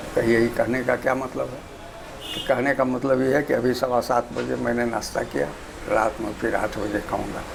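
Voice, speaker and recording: Over noticeable background noise, a man speaks at a moderate pace and medium pitch with fairly even intonation. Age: 80s+. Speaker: retired engineer. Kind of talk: interview.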